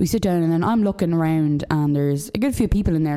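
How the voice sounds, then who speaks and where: Here a woman speaks with a fairly low pitch. Her pitch variation is ordinary. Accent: Irish. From Dundalk, Ireland. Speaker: podcast co-host. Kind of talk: casual banter. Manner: jokey, chatty.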